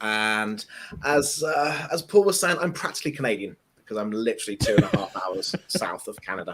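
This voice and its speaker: With an English accent, a man talks at a fairly quick pace and a medium pitch, using very wide pitch swings. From southern England. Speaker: tech developer advocate. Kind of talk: casual chat.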